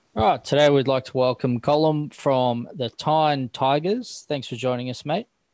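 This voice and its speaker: With an Australian accent, a man talks at a moderate pace with hardly any pauses and ordinary pitch variation, in a dry, close sound with no echo. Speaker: podcast host. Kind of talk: casual chat.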